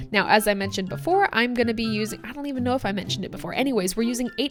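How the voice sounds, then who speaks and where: A woman at a very fast pace, fairly high in pitch with lively intonation, over music in the background. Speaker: barista, coffee recipe creator. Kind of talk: tutorial. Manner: casual, chatty.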